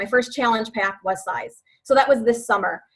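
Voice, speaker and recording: A woman with a fairly high pitch, an ordinary speaking voice, at a moderate pace. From US Midwest, West Chicago, Illinois. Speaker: fitness coach. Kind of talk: team call presentation.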